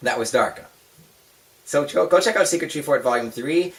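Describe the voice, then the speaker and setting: Over noticeable background noise, a man talks at a very fast pace in an animated tone. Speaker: vlogger. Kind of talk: casual chat. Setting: home bedroom.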